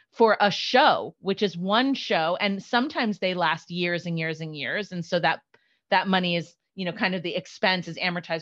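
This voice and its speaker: Using an ordinary speaking voice, a woman talks at a moderate pace and a fairly low pitch. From New York, partly raised in Florida. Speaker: executive director of a theater service organization. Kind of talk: interview.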